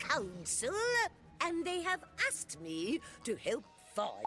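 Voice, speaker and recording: Over clear background music, a woman uses a put-on character voice, high in pitch, at a fairly slow pace. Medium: machinima. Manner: fluttery, condescending.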